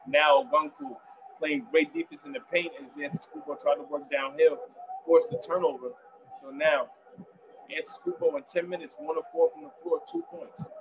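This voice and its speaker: A man talks in an animated tone at a fairly quick pace, his pitch high. His voice makes very wide pitch swings and big swings in loudness over noticeable background noise. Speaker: sports commentator. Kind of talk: live play-by-play sports commentary. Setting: solo recording, commentating over a game broadcast. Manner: animated, vivid, fluent; fluent with some filler pauses. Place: home room. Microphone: webcam.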